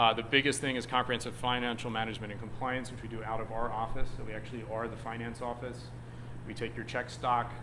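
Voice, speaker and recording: Bright and sharp in tone, a man rattles along at a very fast pace in a monotone, flat intonation, with audible room echo. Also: medium pitch for a man. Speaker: nonprofit services director. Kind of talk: presentation to a group.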